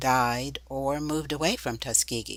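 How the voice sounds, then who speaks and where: Her pitch is very deep and low, and her pace is fairly slow. The woman is heard on a very clean recording with a silent background. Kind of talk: documentary narration.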